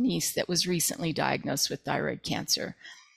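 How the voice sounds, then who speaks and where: A woman speaks with a New Mexican accent. Her fairly low voice has vocal fry. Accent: New Mexican American English. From southern New Mexico. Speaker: roofer and advocate for radiation victims. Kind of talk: interview. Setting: video call.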